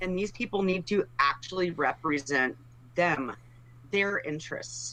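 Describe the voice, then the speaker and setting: A woman with an American accent speaks at a fairly slow pace in a fairly low pitch with ordinary pitch variation, against noticeable background noise. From Texas, Dallas. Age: 40s. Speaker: political candidate. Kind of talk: interview.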